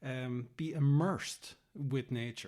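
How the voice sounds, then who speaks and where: A man speaks with an Irish accent. Noticeable background noise runs under his voice. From Ireland. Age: 40s. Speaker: green infrastructure educator and speaker. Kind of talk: interview answer.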